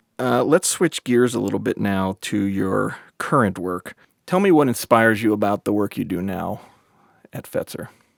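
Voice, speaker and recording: At a moderate pace, a man with a plain, everyday voice talks at a fairly low pitch with lively intonation, in a dry, close sound with no echo. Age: 50s. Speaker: interviewer, nonprofit executive. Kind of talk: oral history interview.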